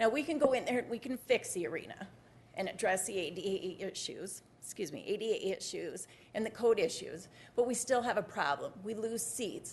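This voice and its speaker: A woman's fairly high, somewhat breathy voice with lively intonation at a fairly quick pace. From South Dakota, Rapid City. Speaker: civic board member speaking at public comment. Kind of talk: public comment at city council meeting. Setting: city government meeting.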